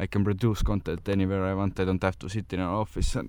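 The speaker is a man. He talks at a fairly quick pace. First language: not English. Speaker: podcast host. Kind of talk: solo monologue on wellness tips. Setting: in a car. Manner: halting, many fillers.

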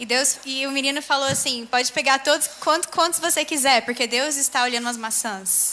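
A woman's raised, projected voice, high in pitch with ordinary variation, very fast with hardly any pauses, over noticeable background noise. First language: Portuguese. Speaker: interpreter. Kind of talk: sermon interpretation. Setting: church stage with audience.

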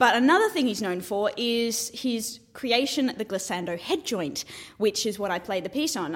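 This woman speaks at a moderate pace with an Australian accent. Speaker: flute student. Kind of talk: interview.

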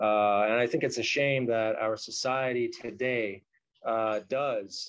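A man with an American accent, medium pitch and fairly even intonation. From US West Coast, Los Angeles area. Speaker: street artist. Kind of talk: casual interview.

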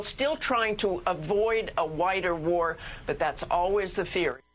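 A woman talks fairly slowly in an ordinary speaking voice, at a medium pitch with ordinary pitch variation. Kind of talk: radio talk show chat.

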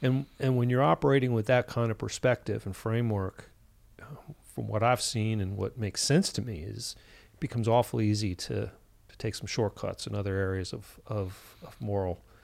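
Speaking at a moderate pace with ordinary pitch variation and big swings in loudness, this is a normal speaking voice in a very clean recording with a silent background. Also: man, fairly low pitch for a man. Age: 50s. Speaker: clinical psychologist. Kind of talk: casual interview. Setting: hotel room.

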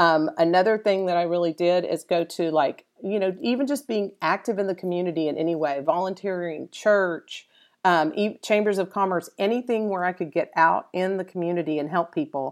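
Speaking in a normal speaking voice with an American accent, the speaker moves at a fairly quick pace with hardly any pauses. Pitch varies in an ordinary way. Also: woman, fairly low pitch for a woman. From Dallas, Texas. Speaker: SEO instructor and consultant. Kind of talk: interview. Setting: live event with audience.

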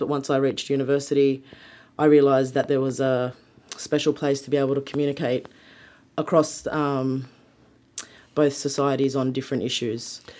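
A woman's very deep, low voice with a dark, mellow tone, flat monotone intonation, an Australian accent and a moderate pace. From Sydney, Australia. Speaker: museum creative producer. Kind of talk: interview.

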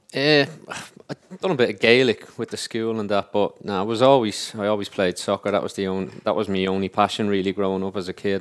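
Someone with an Irish accent talks at a fairly quick pace on a very clean recording with a silent background. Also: man. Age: 30s. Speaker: professional footballer. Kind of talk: casual chat. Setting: studio.

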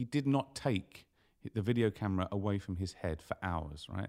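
A man speaks in a normal speaking voice, fairly low in pitch, at a moderate pace with lively intonation. The sound is dry and close with no echo, on a very clean recording with a silent background. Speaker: email marketer and motorbike traveller. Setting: studio.

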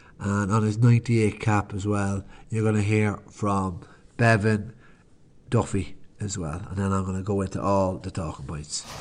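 Speaking with an Irish accent, this voice keeps a fairly slow pace and fairly even intonation. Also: man, fairly low pitch for a man. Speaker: podcast host and sports fan. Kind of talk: sports commentary, recapping the match.

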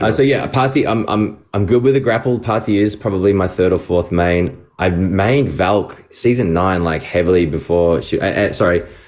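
With an Australian accent, a man speaks at a moderate pace and a fairly low pitch, with ordinary pitch variation, very even loudness and hardly any pauses. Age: 40s. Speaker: video game voice actor. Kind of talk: interview.

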